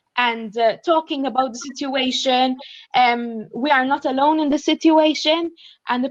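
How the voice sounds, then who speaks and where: A woman speaks at a high pitch with a Maltese accent. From Malta. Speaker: graduate student. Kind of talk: panel discussion.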